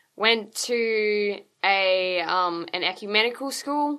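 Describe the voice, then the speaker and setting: A medium-pitched woman's voice, bright and sharp in tone, over a quiet background. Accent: Australian. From Queensland, Australia. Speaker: lay missionary. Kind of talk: interview testimony.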